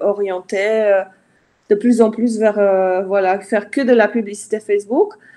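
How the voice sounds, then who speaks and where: Very slow in pace, a woman speaks at a fairly high pitch in a dark, mellow tone. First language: not French (speaking French). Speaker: Facebook ads consultant. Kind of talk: live interview. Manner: halting, many fillers.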